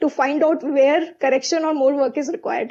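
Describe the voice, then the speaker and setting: The intonation stays fairly even as a woman talks. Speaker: chartered accountant and company CFO. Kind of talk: webinar panel talk. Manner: fast.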